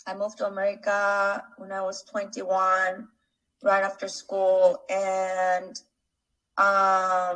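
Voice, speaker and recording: Speaking very slowly with a Spanish accent, a woman uses a medium pitch and a bright, sharp tone, her intonation monotone and flat while her loudness swings widely. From Mexico. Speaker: real estate investor. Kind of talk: casual interview.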